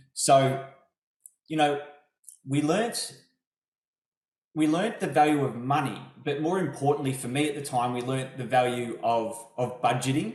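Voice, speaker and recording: In a room with audible echo, a man with a fairly high, somewhat breathy voice talks at a moderate pace with ordinary pitch variation and long, frequent pauses. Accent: Australian. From Melbourne, Australia. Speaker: property investor. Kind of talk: interview testimony. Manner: hesitant, repeats words.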